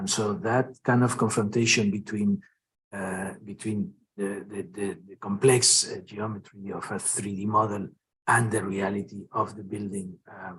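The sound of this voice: Speaking at a moderate pace, this voice has a husky, rough edge, a fairly bright tone, and little pitch movement. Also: man, fairly low pitch for a man.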